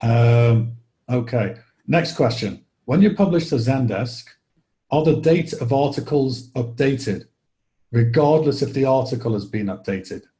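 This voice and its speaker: This speaker has a Liverpool accent and a dark, mellow tone that is somewhat breathy. The pace is moderate, the pitch varies in an ordinary way, and long pauses come often. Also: man. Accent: Liverpool accent, noticeable. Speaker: software product presenter. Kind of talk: webinar Q&A. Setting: online webinar. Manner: casual, many fillers.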